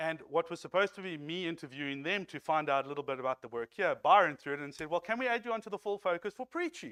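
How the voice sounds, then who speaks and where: A man with a South African accent talks very fast in a high pitch, with hardly any pauses, lively intonation and a bright, sharp tone. The recording is very clean, dry and close, with a silent background and no echo. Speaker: lay preacher. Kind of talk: sermon. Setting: church.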